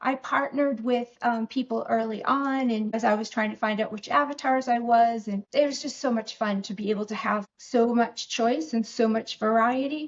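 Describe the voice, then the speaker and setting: A woman with an American accent, at a fairly high pitch and a moderate pace, with fairly even intonation and hardly any pauses. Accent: slight Boston accent that sometimes slips out. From Boston, US Northeast. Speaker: real estate investor and business owner. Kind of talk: podcast interview.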